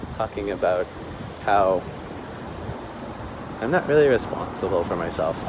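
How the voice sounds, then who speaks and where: A soft-spoken man talks at a moderate pace amid noticeable background noise. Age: 20s. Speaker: vlogger. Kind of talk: personal vlog.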